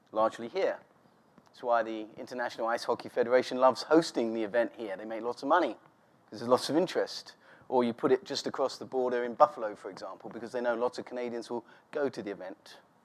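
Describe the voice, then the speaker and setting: At a very fast pace, a man with a medium pitch speaks with ordinary pitch variation and big swings in loudness. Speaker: sport development expert. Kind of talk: conference talk. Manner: animated.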